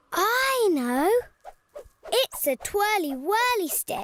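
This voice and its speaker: A cartoonish character voice sits at an extremely high pitch with very wide pitch swings and a playful tone. It moves at a very slow pace. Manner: bright, playful.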